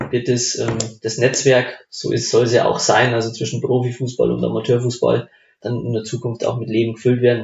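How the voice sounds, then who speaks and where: The voice is somewhat breathy and moves at a moderate pace. Its intonation stays monotone and flat. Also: man, medium pitch for a man. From Upper Palatinate, Bavaria (Lengenfeld near Amberg). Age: 20s. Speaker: amateur football club member. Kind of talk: casual chat. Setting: home kitchen.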